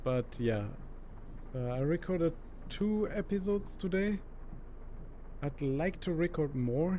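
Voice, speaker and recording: Speaking with a strong German accent, a man keeps a fairly slow pace. His tone is dark and mellow, his intonation lively. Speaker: gaming YouTuber. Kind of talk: gameplay commentary. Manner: casual, hesitant with many fillers.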